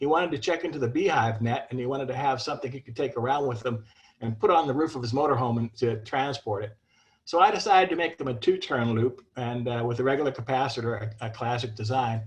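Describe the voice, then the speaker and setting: A somewhat breathy man's voice at a very fast pace. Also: medium pitch for a man, ordinary pitch variation. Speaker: ham radio antenna builder. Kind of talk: technical presentation.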